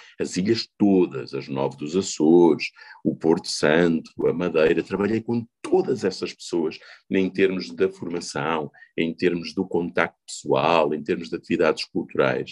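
Very deep and low, the man's voice carries vocal fry and ordinary pitch variation, with a dry, close sound and no echo. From Portugal, Covilhã (Beira interior). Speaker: politician. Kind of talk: interview.

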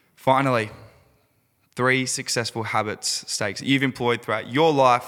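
He speaks with an Australian accent at a moderate pace. His voice has a bright, sharp tone. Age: 20s. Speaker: podcast host and fitness coach. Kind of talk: casual interview.

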